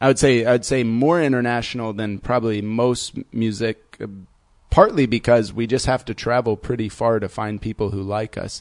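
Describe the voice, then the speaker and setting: An ordinary speaking voice from a man with an American accent, medium pitch, moderate pace and fairly even intonation. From US Midwest, Indiana. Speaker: techno DJ and producer. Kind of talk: casual chat.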